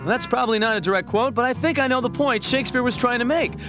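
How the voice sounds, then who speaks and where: Over clear music in the background, a man with an extremely high pitch speaks in a raised, projected voice, the sound dry with no echo. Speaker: voice actor. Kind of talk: TV commercial read. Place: studio.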